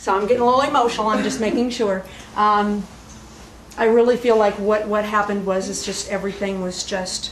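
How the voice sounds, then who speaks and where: With noticeable background noise and audible room echo, a woman at a medium pitch talks at a fairly quick pace with fairly even intonation. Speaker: spirit medium. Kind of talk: platform mediumship demonstration. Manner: fast. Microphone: poor old video recording.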